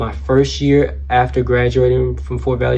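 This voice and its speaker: Against noticeable background noise and audible room echo, a man with an American accent speaks at a moderate pace. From Georgia, US South. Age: 20s. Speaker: mortuary science student. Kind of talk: self-introduction for a class assignment. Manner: casual, with frequent fillers.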